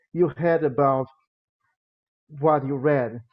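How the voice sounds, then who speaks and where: A fairly slow delivery in a Brazilian accent, with ordinary pitch variation. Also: man. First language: Portuguese. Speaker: music education lecturer. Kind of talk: lecture. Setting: video call. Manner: halting.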